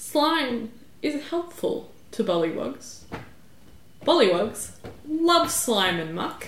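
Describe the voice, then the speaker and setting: In a put-on character voice, a woman speaks very slowly at a high pitch, with very wide pitch swings, long, frequent pauses and clear background noise. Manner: imperious, demanding.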